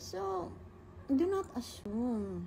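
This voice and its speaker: Light background noise runs through the clip. The speaker is a woman. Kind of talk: casual Q&A story chat. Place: home room. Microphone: phone near.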